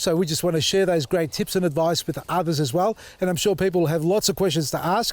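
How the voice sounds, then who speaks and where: This man speaks very fast with an Australian accent and a high pitch. His tone is animated, and his loudness stays very even. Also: ordinary pitch variation. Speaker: gardening YouTuber. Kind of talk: casual vlog talk to camera. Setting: outdoors in garden.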